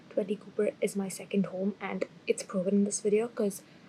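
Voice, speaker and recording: A woman speaks quietly at a medium pitch. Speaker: student vlogger. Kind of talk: casual vlog talk. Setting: university building project room.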